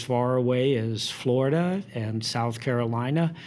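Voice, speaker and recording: The speaker has an American accent and talks at a fairly slow pace. Audible room echo surrounds the voice. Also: man. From US Midwest, Indiana. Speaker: town administrator. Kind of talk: interview.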